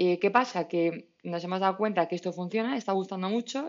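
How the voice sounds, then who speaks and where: With a Madrid accent, a woman speaks at a very fast pace in a medium pitch. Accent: Castilian Spanish (Madrid). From Madrid, Spain. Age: 30s. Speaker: startup founder. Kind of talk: casual interview. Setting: remote call.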